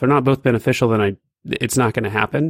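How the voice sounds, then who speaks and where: An ordinary speaking voice from a man at medium pitch with ordinary pitch variation, a dry, close sound with no echo, and a very clean recording with a silent background. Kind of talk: casual chat.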